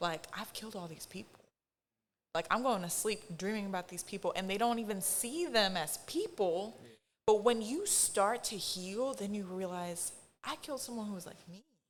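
It is an ordinary speaking voice with ordinary pitch variation. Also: woman. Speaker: therapist. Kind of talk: casual chat.

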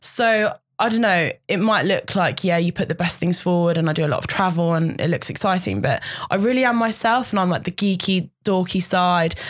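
A woman speaks at a fairly quick pace in an ordinary speaking voice, her medium pitch showing ordinary pitch variation. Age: 20s. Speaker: model. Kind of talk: casual chat.

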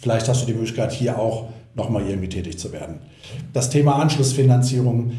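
Through noticeable background noise and audible room echo, a man's voice is heard. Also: medium pitch for a man, ordinary pitch variation, fairly quick pace. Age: 50s. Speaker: mortgage platform regional manager. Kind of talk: podcast interview.

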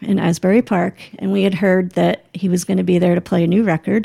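A woman with an American accent speaks at a medium pitch with vocal fry and a dark, mellow tone. The sound is dry and close, with no echo. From New Jersey, small town near New York City. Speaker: mother and foundation founder. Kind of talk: casual chat.

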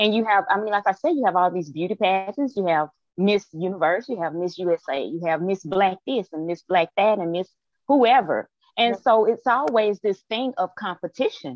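At a moderate pace, a woman with a Southern US accent speaks at a medium pitch with lively intonation. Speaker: author.

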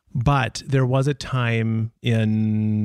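A man with an American accent speaks in a fairly low pitch with a dark, mellow tone and fairly even intonation in a very clean recording with a silent background. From Minnesota. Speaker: retail entrepreneur, co-founder. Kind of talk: casual interview.

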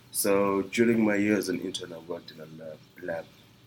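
There's noticeable noise in the background. Through it, a man speaks at a moderate pace. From Zimbabwe. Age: 30s. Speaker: brewer. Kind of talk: casual interview; guided tour. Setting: brew pub. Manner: halting, with many fillers.

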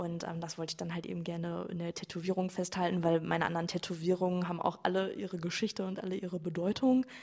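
Noticeable background noise sits behind a woman talking at a fairly quick pace. Her pitch is fairly low. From Germany, Sauerland (Iserlohn). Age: 20s. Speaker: coaching client, physiotherapist. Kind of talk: personal testimony in interview.

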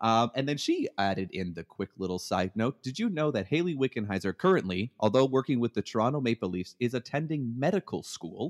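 In a Canadian accent, an ordinary speaking voice moves at a fairly quick pace with hardly any pauses and lively intonation, the sound dry and close with no echo. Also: man, medium pitch for a man. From Canada. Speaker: podcast co-host, veterinarian, new father. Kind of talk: casual chat.

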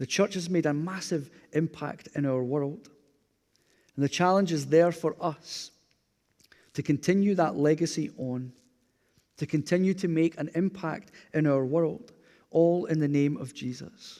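With a Glasgow accent, a man speaks at a fairly slow pace and a fairly high pitch, his tone dark and mellow, his pitch variation ordinary, leaving long, frequent pauses in a very clean recording with a silent background. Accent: Scottish (Glasgow area). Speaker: pastor. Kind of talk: sermon. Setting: church.

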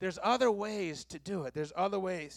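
A man's raised, projected voice with a bright, sharp tone, in a very clean recording with a silent background. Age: 40s. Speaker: pastor. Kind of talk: sermon.

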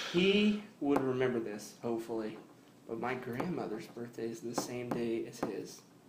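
A man talks with ordinary pitch variation. Room echo is audible along with noticeable background noise. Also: medium pitch for a man, moderate pace. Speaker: podcast co-host. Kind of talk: casual chat.

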